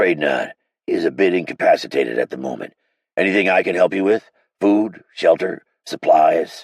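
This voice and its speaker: A man puts on a raspy character voice, pitched fairly low, at a moderate pace. The sound is dry and close, with no echo. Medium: read story. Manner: gruff, blunt.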